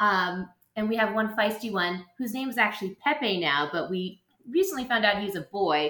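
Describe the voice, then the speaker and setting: The tone is bright and sharp, with very wide pitch swings. The pace is moderate. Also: woman. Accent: American. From Boston. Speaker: school teacher. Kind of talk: casual chat.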